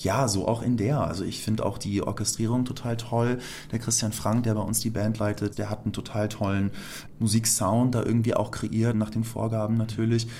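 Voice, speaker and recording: The tone is dark and mellow, with monotone, flat intonation. The pace is moderate. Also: man, medium pitch for a man. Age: 30s. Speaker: musical actor. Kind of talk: interview.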